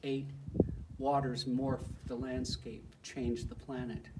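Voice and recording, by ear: Someone with an American accent and a slightly mellow tone speaks at a slow pace, with audible room echo. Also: man.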